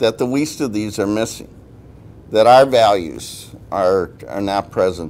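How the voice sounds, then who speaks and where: A man with a plain, everyday voice, fairly low pitch, lively intonation and a fairly slow pace. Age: 60s. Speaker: church policy director. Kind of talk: guest lecture to a class. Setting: university classroom. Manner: conversational, with many filler uhs.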